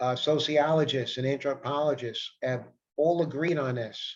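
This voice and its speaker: With an American accent, a normal speaking voice shows ordinary pitch variation and keeps a moderate pace. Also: man. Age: 60s. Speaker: self-help vlogger. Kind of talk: casual monologue. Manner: repetitive.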